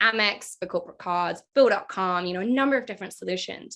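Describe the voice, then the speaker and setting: Her voice has a bright, sharp tone and ordinary pitch variation at a fairly quick pace. The background stays quiet. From London, England, then New Zealand from age twelve. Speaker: marketing director. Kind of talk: podcast interview.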